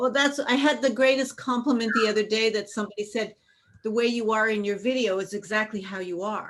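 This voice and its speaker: Her fairly high voice moves at a fairly quick pace as this woman keeps fairly even intonation. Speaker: tantra instructor. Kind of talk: casual chat.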